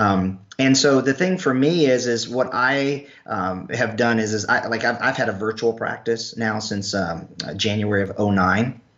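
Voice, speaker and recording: Amid noticeable background noise, a man of medium pitch speaks at a fairly slow pace with ordinary pitch variation. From North Carolina. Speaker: health practitioner and clinician trainer. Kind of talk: casual interview. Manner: animated.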